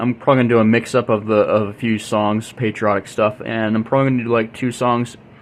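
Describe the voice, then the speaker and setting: Against noticeable background noise, a man at medium pitch talks very fast in a monotone, flat intonation with hardly any pauses. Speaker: YouTube music channel host. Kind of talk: casual tutorial-style demo.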